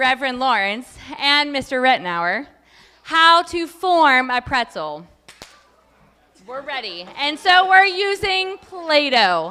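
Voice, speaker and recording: A woman with a high voice speaks very slowly in a raised, projected tone. Her pitch swings very widely and her loudness rises and falls sharply. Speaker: teacher demonstrating auction item. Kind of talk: live demonstration at auction.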